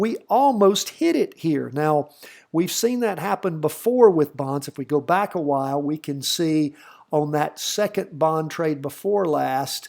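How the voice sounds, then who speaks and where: This man has a fairly high pitch and a slight Southern US accent, with lively intonation at a fairly slow pace. The recording is very clean, with a silent background. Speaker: stock market educator. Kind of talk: tutorial. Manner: casual.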